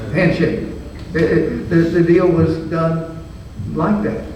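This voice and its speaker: A man with an American accent, fairly high in pitch, speaking at a very slow pace amid noticeable background noise and audible room echo. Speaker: business founder. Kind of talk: interview on stage. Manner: halting.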